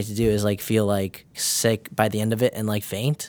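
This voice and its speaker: A plain, everyday voice with an American accent and fairly even intonation comes through in a very clean recording with a silent background. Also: man. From northern Illinois, US. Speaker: nursing student. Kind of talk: casual interview.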